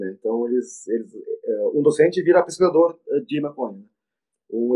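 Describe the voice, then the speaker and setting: Lively intonation at a moderate pace. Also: man. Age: 40s. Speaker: veterinarian and professor. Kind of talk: interview. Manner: halting, many repetitions.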